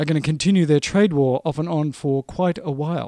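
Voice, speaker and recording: A man with a plain, everyday voice and fairly high pitch, moderate pace and ordinary pitch variation, on a very clean recording with a silent background. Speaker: podcast host. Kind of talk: radio-style daily news patter, chatty and upbeat with show sign-on and sign-off. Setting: recorded daily show, solo, talking to listeners. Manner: rambling, off-the-cuff reporter, restating points ('didn't happen, didn't happen').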